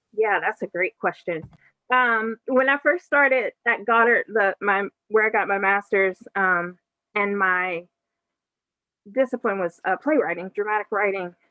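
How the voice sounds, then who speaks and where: A woman with a medium pitch and an unremarkable speaking voice talks at a fairly slow pace with ordinary pitch variation. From Western Pennsylvania, Aliquippa near Pittsburgh. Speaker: author and playwright. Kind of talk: book launch Q&A.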